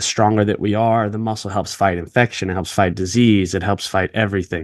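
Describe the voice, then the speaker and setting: With an unremarkable speaking voice, a man talks at a fairly quick pace, his fairly low pitch held in fairly even intonation. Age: 30s. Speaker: podcast host. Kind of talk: casual interview chat.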